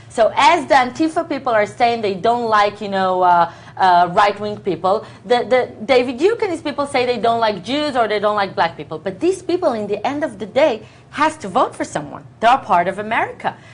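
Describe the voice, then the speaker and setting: A woman in an Israeli accent, fairly high in pitch and fairly quick, with very wide pitch swings. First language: Hebrew. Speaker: news talk show co-host. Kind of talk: heated political debate. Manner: animated, talking over the other speaker.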